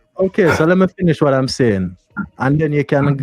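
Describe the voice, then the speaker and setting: Over background music, a man with a fairly high pitch speaks at a moderate pace with lively intonation, the sound dry and close with no echo. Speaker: live stream host. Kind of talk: heated debate. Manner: smooth.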